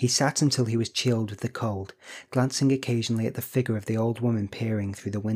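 A natural reading voice delivers the lines with fairly even intonation.

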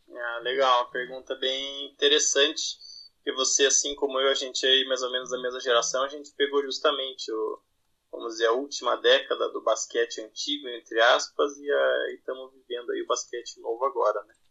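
Big swings in loudness from a man at a moderate pace. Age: 30s. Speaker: basketball blogger. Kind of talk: casual chat.

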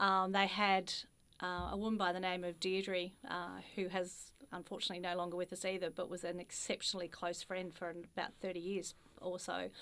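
A woman with an Australian accent speaks at a fairly quick pace in a bright, sharp tone with monotone, flat intonation, recorded very cleanly against a silent background. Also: medium pitch for a woman. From Australia, Ballarat (regional Victoria). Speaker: franchise executive. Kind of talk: interview conversation.

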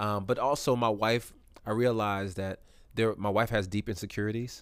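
A plain, everyday voice: a man with an American accent talks at a fairly quick pace, fairly low in pitch and with fairly even intonation, on a very clean recording with a silent background. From California. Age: 40s. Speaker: hip-hop artist. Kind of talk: casual chat.

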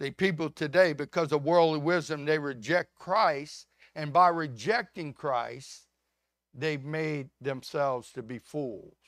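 Delivered at a very slow pace with ordinary pitch variation, the speech has a dry, close sound with no echo in a very clean recording with a silent background. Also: man. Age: 70s. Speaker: pastor. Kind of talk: sermon. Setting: church.

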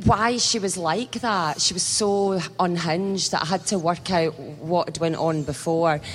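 A woman with a plain, everyday voice speaks at a fairly low pitch with ordinary pitch variation. She leaves hardly any pauses. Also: fairly slow pace. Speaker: actress. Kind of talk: panel discussion. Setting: stage with audience.

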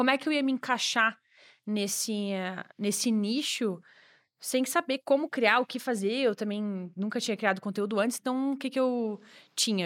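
A woman's ordinary speaking voice, fairly high in pitch with ordinary variation, at a moderate pace, in a dry, close sound with no echo and a very clean recording with a silent background. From Brazil, Santa Catarina (Joinville). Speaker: online English course creator. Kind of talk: casual chat.

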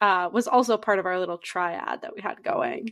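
A woman with an American accent has an ordinary speaking voice. Her pitch is medium, with ordinary variation. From north central Massachusetts. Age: 20s. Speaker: podcast co-host. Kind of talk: casual chat. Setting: video call from a basement.

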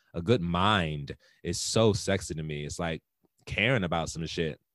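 A man with an American accent speaks in a very deep, low voice with ordinary pitch variation, recorded dry and close with no echo in a very clean recording against a silent background. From US Mid-Atlantic, Baltimore and DC area. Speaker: podcast co-host. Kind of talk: casual chat.

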